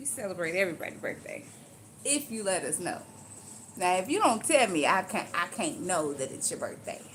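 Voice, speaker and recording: A woman with an animated tone, very wide pitch swings, big swings in loudness and a fairly quick pace. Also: medium pitch for a woman. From Louisiana. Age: 40s. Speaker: live streamer doing hair. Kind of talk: casual live stream chat.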